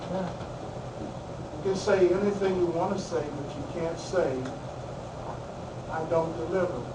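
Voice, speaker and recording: A man is speaking with noticeable noise behind him. The room adds an audible echo. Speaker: spiritual minister and guest speaker. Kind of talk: talk to a class. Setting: classroom. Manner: loud.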